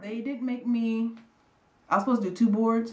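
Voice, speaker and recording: Speech comes at a very fast pace. Noticeable background noise is present. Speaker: air force airman vlogger. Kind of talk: casual vlog storytelling. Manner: fast-talking.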